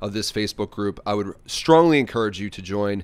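On a very clean recording with a silent background, a normal speaking voice talks fairly quickly, its pitch varying in an ordinary way. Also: man. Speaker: podcast host. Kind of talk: podcast intro. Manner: upbeat.

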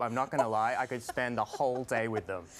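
Over clear music in the background, a man talks at a very fast pace. His tone is upbeat and playful. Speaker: TV host and news anchor. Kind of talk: upbeat tech show host to camera. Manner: upbeat, playful, conversational. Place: studio. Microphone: lapel.

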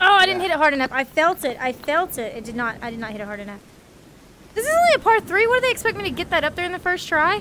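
A woman with an American accent speaks in a raised, projected voice at an extremely high pitch, racing along at a very fast pace with very wide pitch swings and big jumps in loudness over light background noise. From US. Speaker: gaming streamer; VR game streamer. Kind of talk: casual chat. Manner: animated. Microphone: headset.

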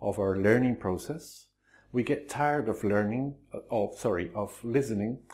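A man with a Spanish accent, at a moderate pace with ordinary pitch variation. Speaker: Spanish teacher. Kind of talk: tutorial. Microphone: lapel.

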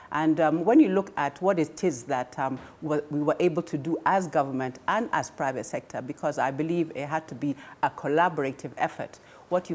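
A woman talks at a moderate pace with ordinary pitch variation. Her pitch is very deep and low. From Kenya. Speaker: government small business advisor; panelist. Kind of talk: panel discussion. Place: studio. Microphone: lapel.

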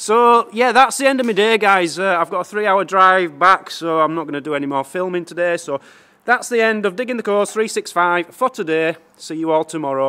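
Raised, projected male speech, bright and sharp in tone, at moderate speed. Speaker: vlogger. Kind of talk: casual vlog chat. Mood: cheerful, thankful. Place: garage. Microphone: phone near.

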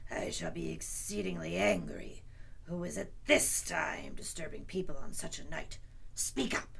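A gruff put-on character voice goes at a moderate pace over noticeable background noise. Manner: gruff, suspicious, angry.

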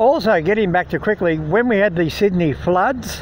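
Moderate pace, light background noise and a dry sound with no echo. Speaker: local vlogger. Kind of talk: casual vlog chat. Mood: nostalgic storytelling. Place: street. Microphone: phone near.

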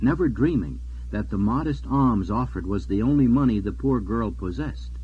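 A natural voice, reading aloud

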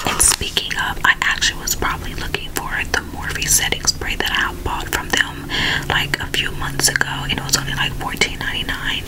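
A woman is whispering. She keeps a moderate pace. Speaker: ASMR creator. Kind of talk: casual talk to camera. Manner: gentle, friendly. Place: home room.

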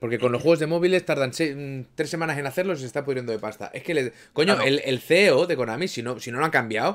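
A man speaks very fast with lively intonation, and the background stays quiet. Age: 30s. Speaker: gaming streamer. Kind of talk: casual chat. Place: home room.

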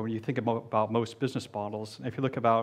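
A man with an American accent talks at a very fast pace in a flat, monotone delivery. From US, Delaware. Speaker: diplomat, embassy economic officer; panelist. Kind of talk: panel discussion. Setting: stage with audience. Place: studio. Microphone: headset.

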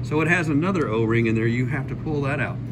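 Noticeable background noise sits behind a man's voice. His pitch varies in an ordinary way. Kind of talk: tutorial. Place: garage. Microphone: phone near.

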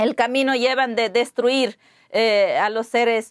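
A woman speaks with an Ecuadorian accent and a high pitch. The background is quiet. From Ecuadorian Amazon, Pastaza. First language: Waorani (speaking Spanish). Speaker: interview guest. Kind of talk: interview. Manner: halting, with hesitations and repetitions. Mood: earnest, concerned.

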